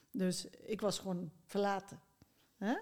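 A woman speaking at a very slow pace, her intonation fairly even. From Netherlands, South Limburg (near Heerlen). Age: 60s. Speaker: psychologist and author. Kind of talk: interview conversation. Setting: basement studio.

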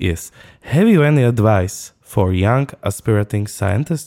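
A man with a Slovak accent speaks in a dark, mellow tone with lively intonation. His pace is fairly slow, and the recording is very clean with a silent background. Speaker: podcast host.

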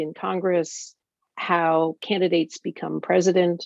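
The sound of a woman at medium pitch is dry and close, with no echo. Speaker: political journalist. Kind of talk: interview. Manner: halting.

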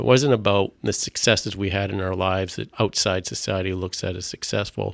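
A man talks at a fairly quick clip with hardly any pauses, his pitch very deep and low. His pitch moves in an ordinary way. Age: middle-aged. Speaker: ministry organization president. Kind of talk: testimony.

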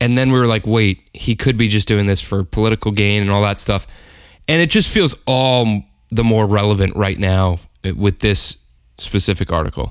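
With an American accent and an ordinary speaking voice, a man talks at a moderate pace with a fairly low pitch and ordinary pitch variation, recorded very cleanly against a silent background. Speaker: producer and co-host. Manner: casual, joking, laughs often.

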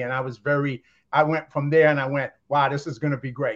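With an American accent, a man of fairly high pitch talks at a moderate pace in an ordinary speaking voice. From US East Coast. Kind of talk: casual interview.

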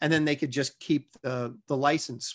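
In a normal speaking voice, a man with a fairly high pitch talks at a fairly quick pace with fairly even intonation against a quiet background. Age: 50s. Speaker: comic book artist. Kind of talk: casual interview.

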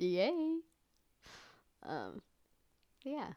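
A woman talks with lively intonation. Her recording is very clean and the background is silent. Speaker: podcast host. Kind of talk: casual solo monologue. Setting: home recording with microphone. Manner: animated.

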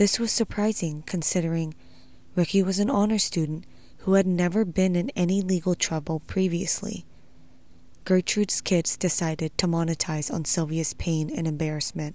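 A woman's fairly low-pitched, unremarkable speaking voice at a moderate pace with ordinary pitch variation, in a very clean recording with a silent background. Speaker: true crime podcaster. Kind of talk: true-crime narration, scripted-style retelling of a abuse case. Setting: solo podcast recording. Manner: grave, measured, matter-of-fact; steady, detached delivery of disturbing details.

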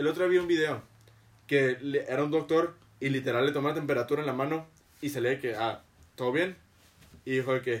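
A man speaks at a very fast pace. His pitch sits fairly high, and his intonation stays fairly even. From Mexico. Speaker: podcast host. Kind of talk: casual chat. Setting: studio.

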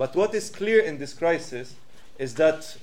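A man's high-pitched voice with lively intonation at a moderate pace, plus audible room echo. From Switzerland. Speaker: activist and lecturer. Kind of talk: public talk. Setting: stage with audience.

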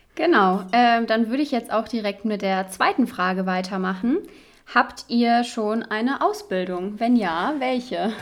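Using a normal speaking voice, a woman talks at a fairly slow pace and fairly high pitch with ordinary pitch variation. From western Germany, Cologne. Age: 20s. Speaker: medical student, podcast co-host. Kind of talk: casual chat.

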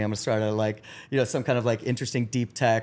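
Speaking very fast, a man keeps a medium pitch and a monotone, flat intonation. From Ecuador. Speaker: startup founder and CEO. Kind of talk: interview.

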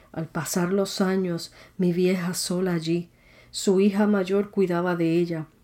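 On a very clean recording with a silent background, a woman with a medium pitch speaks in a flat monotone with a dark, mellow tone. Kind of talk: poetry reading; devotional reflection.

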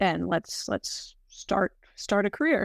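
A woman's fairly high, unremarkable speaking voice at a fairly slow pace, dry and close with no echo, on a very clean recording with a silent background. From US South, North Carolina. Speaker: sustainability analyst. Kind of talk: casual interview.

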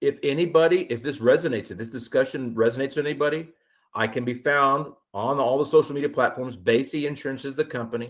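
A man with an American accent, fairly high in pitch, talking at a very fast pace with ordinary pitch variation. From Austin, Texas. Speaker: insurance broker. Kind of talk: interview. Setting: remote call.

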